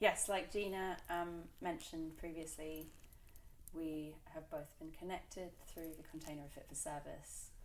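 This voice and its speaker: Speaking in an English accent at a fairly slow pace, the voice stays monotone and flat in intonation, with big swings in loudness and audible room echo. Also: woman, fairly low pitch for a woman. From England. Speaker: tech startup founder, former chef. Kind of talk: interview. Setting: in person with host.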